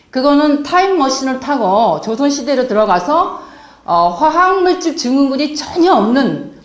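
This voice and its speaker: Over noticeable background noise and audible room echo, a woman speaks at a moderate pace in a high voice. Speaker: health lecturer. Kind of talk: lecture.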